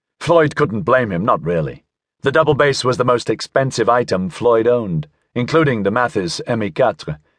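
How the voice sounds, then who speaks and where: Against a quiet background, a man at medium pitch speaks in a dramatic tone with lively intonation at a moderate pace. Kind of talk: audiobook narration of a sci-fi novel, read aloud. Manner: measured, dramatic storyteller pacing, shifting tone for each character.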